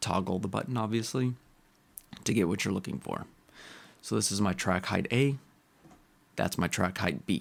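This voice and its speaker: This man's voice is fairly low in pitch. His pitch varies in an ordinary way. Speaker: composer. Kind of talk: tutorial screen-recording talk. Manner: casual.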